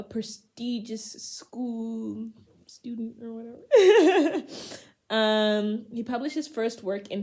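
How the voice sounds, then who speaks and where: A woman's fairly high, dark and mellow voice, somewhat breathy, at a very slow pace, with ordinary pitch variation and big swings in loudness. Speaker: poetry channel host. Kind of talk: casual talk to camera. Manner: casual, humorous.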